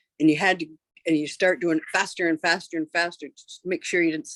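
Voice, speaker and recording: A woman with a Canadian accent has a normal speaking voice. Her pitch is fairly low and her intonation fairly even. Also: dry, close sound with no echo. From Canada (Ontario). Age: 60s. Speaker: interviewee. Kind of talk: interview.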